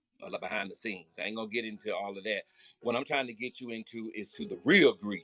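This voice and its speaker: In a Southern US accent, a man speaks at a moderate pace with lively intonation and a bright, sharp tone, the sound dry and close with no echo. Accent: country Southern. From Florida. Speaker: spiritual motivational speaker. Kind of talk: live stream talk. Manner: loud; animated.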